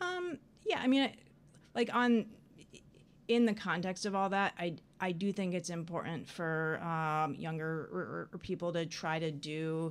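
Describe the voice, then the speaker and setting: A woman speaks at a moderate pace with lively intonation on a very clean recording with a silent background. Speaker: psychiatrist. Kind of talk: interview. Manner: halting.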